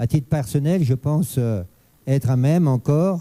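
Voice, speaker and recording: The man's dark, mellow tone holds ordinary pitch variation as he talks at a moderate pace. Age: 60s. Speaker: mayor running for reelection. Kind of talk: political debate. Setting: radio studio with live audience.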